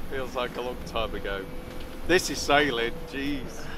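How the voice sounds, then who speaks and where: Background noise is noticeable. Through it, a man talks. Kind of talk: casual vlog chat. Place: boat. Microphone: phone near.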